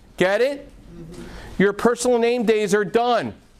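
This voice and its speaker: A man's high-pitched voice at a moderate pace. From North Jersey, US. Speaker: mortgage lending specialist presenting at investor club. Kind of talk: workshop presentation to live audience. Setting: meeting room with live audience.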